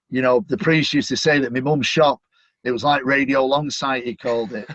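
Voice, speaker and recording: At a moderate pace, a man with a Manchester accent talks in a fairly high pitch with ordinary pitch variation. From Manchester, northern England. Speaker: stadium announcer. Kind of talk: casual interview.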